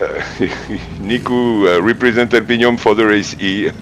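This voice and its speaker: A man with a French accent at a fairly low pitch and moderate pace, over noticeable background noise. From France. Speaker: sim racing driver. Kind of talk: casual interview. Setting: live stream voice call. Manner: halting, many fillers.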